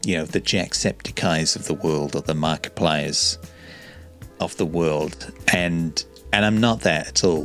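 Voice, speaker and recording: Over music in the background, a man speaks at a fairly slow pace in a very deep, low pitch with ordinary pitch variation. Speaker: YouTuber. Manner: calm, not loud.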